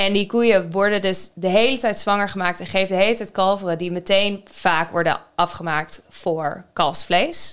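At a moderate pace with hardly any pauses, a normal speaking voice keeps its intonation fairly even. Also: woman, medium pitch for a woman. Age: 30s. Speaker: podcast co-host. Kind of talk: casual chat.

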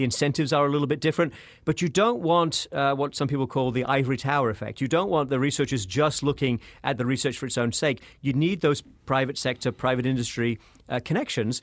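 In a British accent, a man talks at a very fast pace with ordinary pitch variation. The recording is very clean, with a silent background. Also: fairly high pitch for a man. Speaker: professor and author. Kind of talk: interview.

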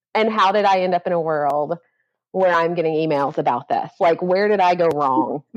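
A woman talks in a plain, everyday voice at a fairly low pitch. Her pace is moderate. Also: ordinary pitch variation, very even loudness. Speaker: author and editor. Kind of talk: casual interview conversation.

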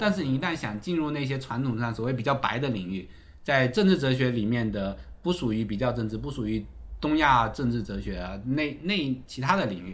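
With audible room echo, a man speaks at a medium pitch and a fairly quick pace. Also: lively intonation. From China, Fujian. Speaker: political scientist, university postdoc lecturer. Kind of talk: casual interview conversation. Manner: fast.

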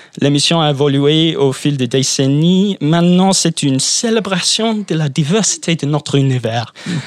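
In an unremarkable speaking voice, a man with a fairly high pitch and ordinary pitch variation talks at a fairly slow pace with hardly any pauses and very even loudness. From England. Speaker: panelist. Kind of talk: casual chat.

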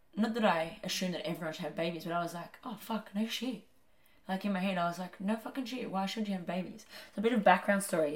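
A woman talks at a very fast pace in a medium pitch with ordinary pitch variation. Her voice comes across somewhat breathy. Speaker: podcast co-host. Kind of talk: casual chat.

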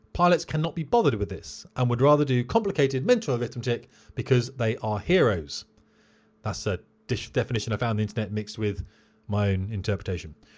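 A man talks at a very fast pace in a British accent. His medium-pitched, somewhat breathy voice has lively intonation. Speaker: military pilot and podcast host. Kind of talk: solo educational podcast. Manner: staccato.

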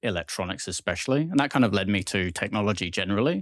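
Very fast speech from a man in an English accent, with ordinary pitch variation, a dry, close sound with no echo, and a very clean recording with a silent background. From southwest England. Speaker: tech executive. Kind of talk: interview. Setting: studio.

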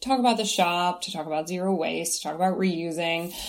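Over noticeable background noise, a woman with a Kentucky accent talks at a moderate pace, her medium pitch showing ordinary variation. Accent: American, Kentucky. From US Kentucky. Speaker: shop co-founder. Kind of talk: casual interview chat.

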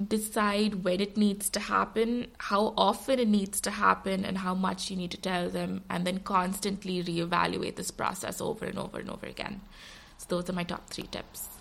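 Delivered at a moderate pace over noticeable background noise, the speech stays monotone and flat. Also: woman, medium pitch for a woman. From India. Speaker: governance course developer. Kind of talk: podcast interview.

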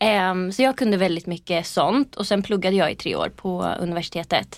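A woman with a normal speaking voice, medium pitch and fairly even intonation, on a very clean recording with a silent background. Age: 20s. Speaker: PR agency co-founder. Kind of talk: interview. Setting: podcast studio.

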